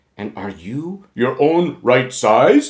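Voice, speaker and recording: Putting on a character voice, a man talks at a medium pitch. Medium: read story.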